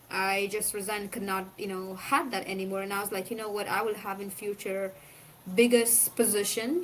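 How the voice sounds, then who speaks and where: A woman speaks in an Afghan accent. Her pitch is medium and her intonation fairly even. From Afghanistan, Kandahar. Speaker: former provincial council member. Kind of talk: interview. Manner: fast.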